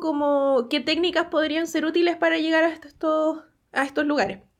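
A woman's high voice comes through in a very clean recording with a silent background. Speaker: science podcast host. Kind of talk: casual chat. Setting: live stream.

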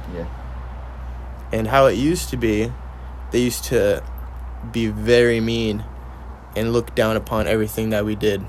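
Amid audible room echo, a man talks at a moderate pace with long, frequent pauses. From Mexican-American upbringing. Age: 20s. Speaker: podcast host. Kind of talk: casual chat.

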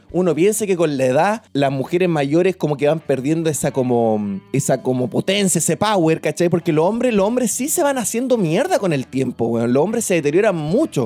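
Over music in the background, a man with a Chilean accent talks fairly quickly at a high pitch, with very wide pitch swings, very even loudness, and hardly any pauses. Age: 20s. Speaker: podcast host. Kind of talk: personal storytelling. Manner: casual, slangy.

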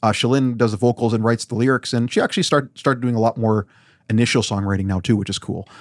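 Very fast speech from a man with a Canadian Prairies accent, medium pitch and fairly even intonation, on a very clean recording with a silent background. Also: dry, close sound with no echo. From Weyburn, Saskatchewan, Canada. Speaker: sound engineer and musician. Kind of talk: casual chat. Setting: home basement recording studio.

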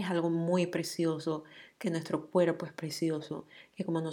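A woman speaks fairly slowly with a dark, mellow tone and flat, monotone intonation. The recording is very clean, with a silent background. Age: 30s. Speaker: podcast host. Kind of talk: solo monologue. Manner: casual, many filler words.

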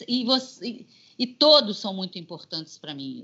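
A woman is speaking. Her pitch swings very widely. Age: 50s. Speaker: singer and voice actress. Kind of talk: interview. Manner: animated.

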